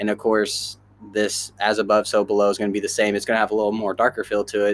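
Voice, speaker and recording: This is a man with an American accent. His pitch sits fairly low. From Kansas City area, US Midwest. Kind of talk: casual chat.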